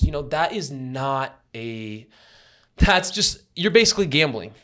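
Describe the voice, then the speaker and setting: With lively intonation and an energetic tone, a man speaks at a fairly high pitch. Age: 20s. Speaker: podcast host, marketing agency founder. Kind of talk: casual chat. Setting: at home. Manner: fast, energetic.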